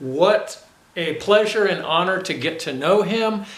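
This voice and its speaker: Noticeable background noise behind fairly slow talking. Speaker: interviewer, channel owner. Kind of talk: narration to camera.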